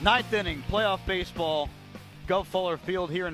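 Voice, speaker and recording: Music plays behind a man speaking at a fairly quick pace. His high-pitched voice keeps a fairly even intonation. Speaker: baseball radio play-by-play broadcaster. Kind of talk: live radio sports play-by-play.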